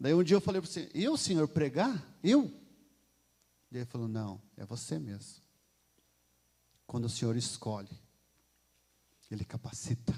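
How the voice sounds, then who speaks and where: A man at a medium pitch, his voice dark, mellow and somewhat breathy, with very wide pitch swings. He talks at a moderate pace and leaves long, frequent pauses. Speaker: lay preacher. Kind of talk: sermon. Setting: church.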